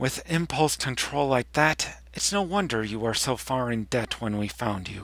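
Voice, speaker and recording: A put-on character voice at a moderate pace, with hardly any pauses. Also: man, medium pitch for a man. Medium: read story. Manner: prim, disapproving.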